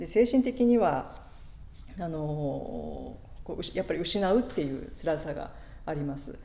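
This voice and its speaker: A woman speaks at a fairly slow pace in a very deep, low pitch with vocal fry and a dark, mellow tone. Her pitch swings very widely and her loudness shifts a lot. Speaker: pastor. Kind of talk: sermon. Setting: church. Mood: calm, reflective. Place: church. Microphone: podium.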